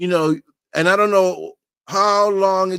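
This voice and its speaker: The speaker is a man. He talks in a Boston accent. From Massachusetts, US. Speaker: online talk show host. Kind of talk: casual chat.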